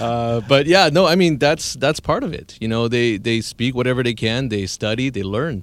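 A man's unremarkable speaking voice with a Canadian accent, medium in pitch with lively intonation, at a moderate pace with hardly any pauses, on a very clean recording with a silent background. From Surrey, British Columbia, Canada. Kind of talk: radio interview.

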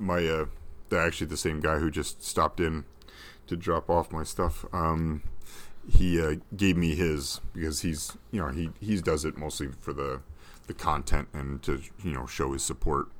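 A man's very deep, low voice with vocal fry, fairly even intonation and a moderate pace. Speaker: podcast guest and fan. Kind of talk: casual interview chat.

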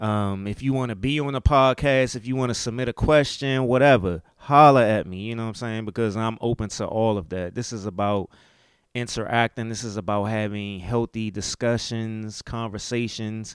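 In an American accent, a man speaks at a moderate pace with medium pitch. The recording is very clean and the background silent. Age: 40s. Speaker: podcast host. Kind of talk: casual monologue podcast. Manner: casual, animated.

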